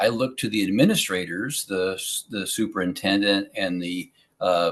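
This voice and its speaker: Against a quiet background, a man with an American accent and fairly low pitch talks at a moderate pace with ordinary pitch variation. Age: 60s. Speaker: school board candidate. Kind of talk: interview. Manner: halting, many fillers.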